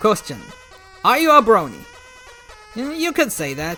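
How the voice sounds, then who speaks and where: Over music in the background, a man projects a raised voice at a moderate pace with very wide pitch swings. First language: Arabic. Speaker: YouTuber. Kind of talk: Q&A reading and answering viewer questions.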